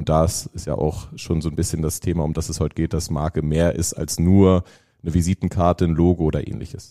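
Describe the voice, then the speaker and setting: Very deep and low in pitch, this man has a dark, mellow tone and a monotone, flat intonation. He moves at a fairly quick pace, and the sound is dry and close with no echo. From northern Germany, Lüneburg near Hamburg. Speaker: brand agency executive. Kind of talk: casual interview conversation.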